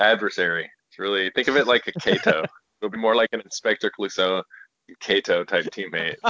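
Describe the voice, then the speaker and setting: A man with an American accent at a fairly quick pace. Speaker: guest. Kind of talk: casual chat. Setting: phone call.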